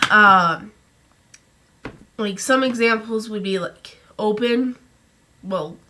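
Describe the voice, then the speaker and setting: Her pitch fairly high, a woman speaks at a very slow pace. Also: ordinary pitch variation. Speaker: vlogger. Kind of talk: casual talk to camera. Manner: halting, many restarts.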